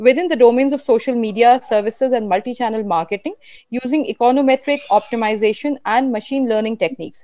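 Speaking at a fairly quick pace, a woman has a high voice with a dark, mellow tone and ordinary pitch variation. The background is quiet and the sound dry with no echo. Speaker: webinar host. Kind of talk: formal introduction. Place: home room. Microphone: earbuds.

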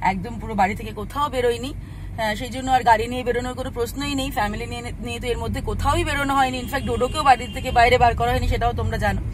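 A woman's voice, dry with no echo, sits over noticeable background noise. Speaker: vlogger. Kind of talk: casual vlog chat. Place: car. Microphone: phone near.

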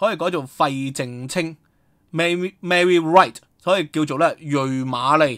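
Bright and sharp in tone, a man with a Hong Kong accent speaks at a fairly high pitch in a very clean recording with a silent background. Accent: Hong Kong Cantonese. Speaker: historian and online commentator. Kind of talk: solo news commentary. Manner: halting, many filler sounds.

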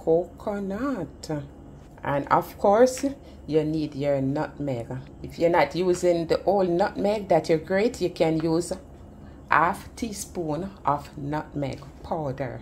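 A woman with a fairly low pitch and vocal fry speaks at a very slow pace. Light background noise can be heard. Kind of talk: tutorial. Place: kitchen. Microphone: phone near.

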